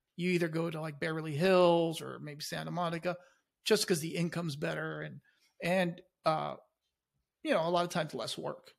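On a very clean recording with a silent background, a man with a high voice speaks at a fairly quick pace. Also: big swings in loudness. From Chile, immigrated to the US as a child. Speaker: law enforcement officer. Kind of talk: casual chat.

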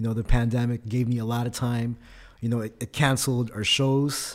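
The recording is very clean, with a silent background. A man with a Californian accent speaks at medium pitch with fairly even intonation. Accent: Californian American. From Philippines, raised in California. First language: Tagalog. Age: 30s. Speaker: rapper and artist. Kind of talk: casual interview chat. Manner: relaxed, casual, conversational.

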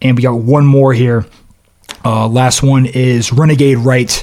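This is a man speaking in an ordinary speaking voice. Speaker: podcast host. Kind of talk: casual chat, interview.

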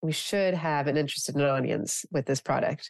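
A woman talks at a moderate pace with a Canadian accent. Her pitch is very deep and low. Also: dry, close sound with no echo. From Canada. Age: 40s. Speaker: beauty entrepreneur. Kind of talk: casual interview chat. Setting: podcast interview.

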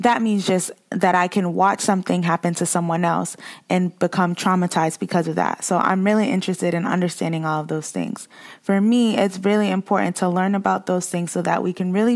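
In a normal speaking voice, a woman with an American accent talks at a fairly quick pace and fairly low pitch on a very clean recording with a silent background. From Boston, Massachusetts. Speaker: social work graduate student, podcaster. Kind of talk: casual interview, personal testimony.

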